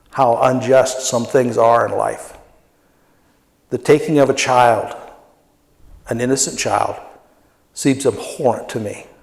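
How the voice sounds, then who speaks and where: Audible room echo surrounds a man's voice. He speaks at medium pitch with monotone, flat intonation. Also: long, frequent pauses. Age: 60s. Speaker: pastor. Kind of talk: sermon.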